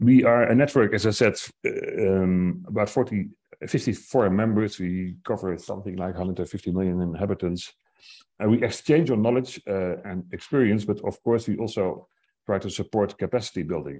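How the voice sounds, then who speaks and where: A man's normal speaking voice, fairly low in pitch, with ordinary pitch variation, a moderate pace and a quiet background. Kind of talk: conference panel remarks. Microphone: earbuds.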